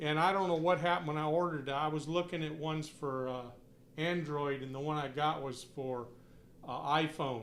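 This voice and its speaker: In a room with audible echo, a man with a fairly high pitch speaks at a fairly quick pace with fairly even intonation. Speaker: hobbyist live streamer. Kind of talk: casual live stream chat. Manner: loud; halting.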